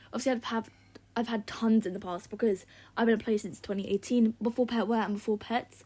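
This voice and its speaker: The voice is somewhat breathy and moves at a fairly quick pace. The recording is very clean, with a silent background. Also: woman. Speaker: gaming YouTuber. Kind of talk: casual gameplay commentary. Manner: fast; sighing.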